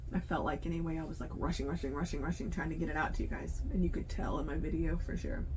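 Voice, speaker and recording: The speech runs at a very fast pace with hardly any pauses. Noticeable background noise and audible room echo are present. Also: woman. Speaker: crochet youtuber. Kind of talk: casual vlog talk to camera. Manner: fast-talking by habit; hesitant, many fillers.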